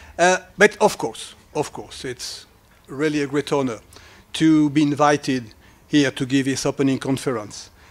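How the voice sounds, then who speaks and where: A man with a French accent talks at a moderate pace. His pitch is fairly high, with ordinary pitch variation. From France. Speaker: academic researcher. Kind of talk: lecture. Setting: conference hall with audience. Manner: halting.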